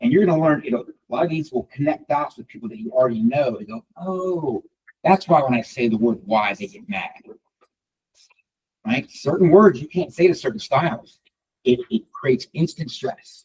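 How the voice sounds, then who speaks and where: The voice is somewhat breathy, and its intonation is lively. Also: man, fairly high pitch for a man. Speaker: real estate coach and trainer. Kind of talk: live training session. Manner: fast.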